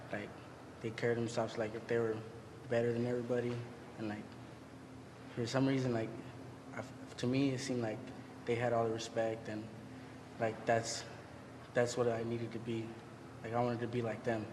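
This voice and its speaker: A man with an American accent talks at a fairly quick pace in a monotone, flat intonation, leaving long, frequent pauses. Audible room echo and noticeable background noise are present. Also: medium pitch for a man. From California Central Coast. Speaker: incarcerated gang member. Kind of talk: testimony.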